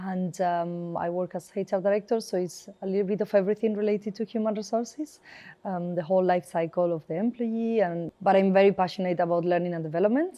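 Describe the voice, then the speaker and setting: Speaking in a Spanish accent, the voice moves at a very fast pace with hardly any pauses. The intonation is fairly even. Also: woman, medium pitch for a woman. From northern Spain. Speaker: HR director. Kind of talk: interview conversation.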